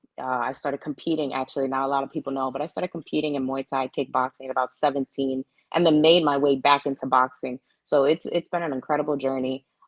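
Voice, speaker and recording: A woman with a very deep, low pitch and an American accent talks at a very fast pace in a monotone, flat intonation. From US, Florida (Orlando). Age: 20s. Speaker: professional boxer. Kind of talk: interview.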